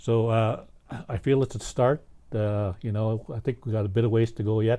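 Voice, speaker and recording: This man's dark, mellow voice sits at a medium pitch, moving at a moderate pace with fairly even intonation. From Vancouver Island, British Columbia (First Nations community). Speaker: First Nations community member, residential school survivor. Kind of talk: interview. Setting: studio. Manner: halting.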